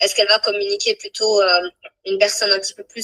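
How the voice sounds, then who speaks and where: A bright, sharp tone from a woman, fairly high in pitch. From Portugal. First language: Portuguese (speaking French). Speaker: speaker and coach. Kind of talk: casual live interview. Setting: Instagram live. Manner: fluent, with hesitations.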